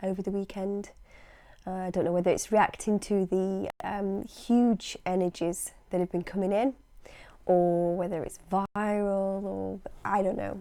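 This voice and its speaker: Speaking with a British accent, a woman uses a medium pitch and a dark, mellow tone. Her pace is fairly slow. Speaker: hypnosis practitioner and channel host. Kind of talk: casual vlog monologue.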